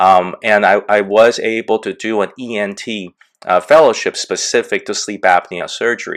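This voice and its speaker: Male speech on a very clean recording, the background silent. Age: 60s. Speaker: sleep surgeon. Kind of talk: interview. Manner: halting, many fillers.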